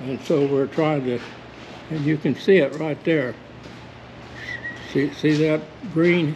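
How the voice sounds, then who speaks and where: Very slow speech with long, frequent pauses, fairly even intonation, and noticeable background noise. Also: man, fairly high pitch for a man. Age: 80s+. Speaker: nursery founder, horticulturist. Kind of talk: demonstration explanation. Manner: slightly halting.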